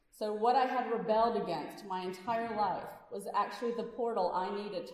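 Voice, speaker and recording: A woman's medium-pitched voice with an American accent, a fairly quick pace, ordinary pitch variation, big swings in loudness and audible room echo. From Louisiana, US South. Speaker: physician and activist speaker. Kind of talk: speech to a congregation. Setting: church service with audience. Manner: animated.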